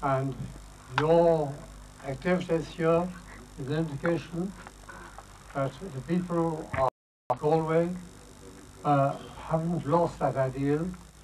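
Speaking at a fairly slow pace with long, frequent pauses, a man keeps his intonation fairly even over noticeable background noise. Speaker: guest. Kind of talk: public speech. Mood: earnest, patriotic. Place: open country. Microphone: handheld.

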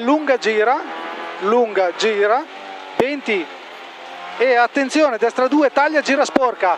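Music plays behind a man speaking at an extremely high pitch, very slowly, with long, frequent pauses. His loudness stays very even, and the sound is dry with no echo. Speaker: rally co-driver. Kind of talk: rally pace notes read aloud. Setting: inside rally car. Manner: urgent, rhythmic, repeating warnings. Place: car. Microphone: helmet.

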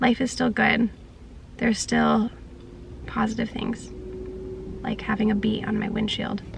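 Over noticeable background noise, the speaker goes at a fairly slow pace with monotone, flat intonation and a dry sound with no echo. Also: woman. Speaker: vlogger. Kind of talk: casual vlog chat. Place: car. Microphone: phone near.

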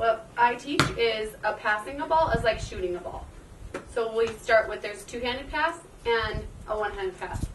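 A woman speaks at a moderate pace with noticeable background noise behind her. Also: ordinary pitch variation. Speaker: PE teacher. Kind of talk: tutorial. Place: open country. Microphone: camera far.

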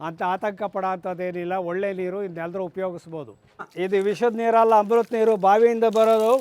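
A silent background and very clean recording, with intonation kept fairly even. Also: man, high pitch for a man. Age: 80s+. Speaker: villager, former local council chairman. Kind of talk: casual on-camera interview.

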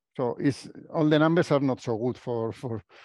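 A man with a Spanish accent speaks in a fairly high voice, recorded with a dry sound, no echo, and a quiet background. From Spain. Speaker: professor. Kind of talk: lecture. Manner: halting. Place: meeting room.

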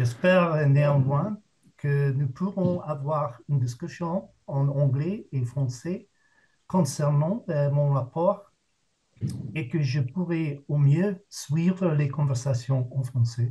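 The speaker has an English accent and a dark, mellow, somewhat breathy tone. Talking very slowly with ordinary pitch variation, they speak against a quiet background. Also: man, fairly high pitch for a man. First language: English (speaking French). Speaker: jury member, professor; professor. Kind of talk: formal prepared statement. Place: home room. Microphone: video call.

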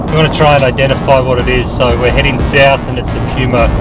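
Music runs in the background as a man talks at a fairly quick pace, the sound dry with no echo. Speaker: travel vlogger driving. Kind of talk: casual vlog chat and tutorial. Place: car. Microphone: camera far.

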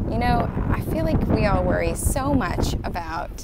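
The speaker goes at a fairly slow pace. Loud background noise is present. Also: woman, dry sound with no echo. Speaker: card reader vlogger. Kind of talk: casual vlog chat. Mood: cheerful, warm. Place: beach. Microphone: earbuds.

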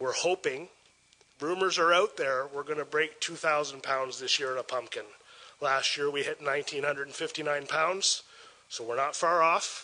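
This man's voice is fairly high, with a bright, sharp tone and a Canadian accent. He talks at a fairly slow pace. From Port Elgin, Ontario, Canada. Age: 40s. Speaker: festival organizer. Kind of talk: public presentation. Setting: council chambers. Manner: enthusiastic. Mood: upbeat, promotional. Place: meeting room. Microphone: podium.

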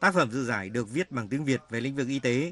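This is a man at medium pitch. His tone is bright and sharp. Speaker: news reporter. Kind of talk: scripted narration.

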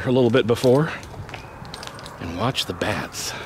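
A man talks at a fairly slow pace in a dry sound with no echo, with light background noise behind him. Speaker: vlogger filming a trip. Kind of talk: casual vlog chat. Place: waterside. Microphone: phone near.

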